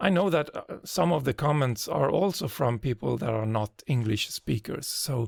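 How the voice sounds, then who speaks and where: At a fairly slow pace, a man with a non-native accent speaks with lively intonation. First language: not English. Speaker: GIS tutorial creator. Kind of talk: tutorial. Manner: hesitant, frequent filler sounds.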